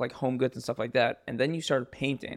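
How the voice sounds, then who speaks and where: Captured in a very clean recording, silent background, a man speaks at a fairly quick pace in a normal speaking voice, medium in pitch with ordinary pitch variation. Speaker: podcast co-host. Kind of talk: casual podcast chat.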